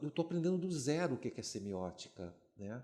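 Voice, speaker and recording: The speaker is a man. His intonation is lively. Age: 60s. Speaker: retired film and advertising professor. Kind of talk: podcast interview. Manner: halting.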